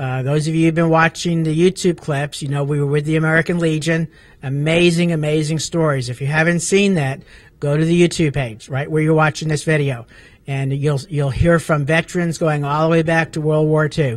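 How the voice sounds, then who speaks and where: A man speaks at a fairly quick pace with fairly even intonation, the sound dry with no echo. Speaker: talk show host. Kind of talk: talk show introduction. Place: meeting room. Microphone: handheld.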